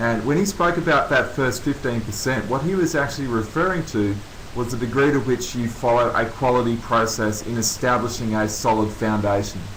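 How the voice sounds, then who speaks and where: Talking at a fairly quick pace with hardly any pauses and ordinary pitch variation, the speaker has an Australian accent, with noticeable background noise and audible room echo. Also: man, medium pitch for a man. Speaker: coaching consultant, former Olympian. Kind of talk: webinar presentation. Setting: online webinar.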